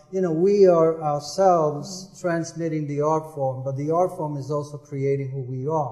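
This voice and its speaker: Fairly high male voice at a moderate pace with fairly even intonation amid noticeable background noise. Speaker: poet and literary historian. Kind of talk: panel discussion answer.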